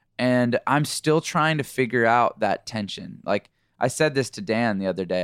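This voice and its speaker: The sound is dry and close, with no echo. A man with an ordinary speaking voice speaks at a fairly slow pace, his medium pitch marked by lively intonation. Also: very clean recording, silent background. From Canada. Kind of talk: interview. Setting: studio.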